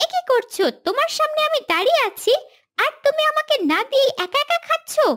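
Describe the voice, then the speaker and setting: A woman puts on a squeaky, cartoonish character voice at an extremely high pitch. Her pitch swings very widely while her loudness stays very even. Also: moderate pace. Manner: sly, wheedling.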